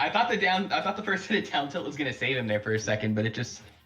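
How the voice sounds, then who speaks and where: A man talks at a very fast pace with lively intonation and a medium pitch. Noticeable background noise can be heard. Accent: American. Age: 20s. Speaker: esports commentator. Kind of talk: live commentary. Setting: live stream. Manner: halting, repeats words.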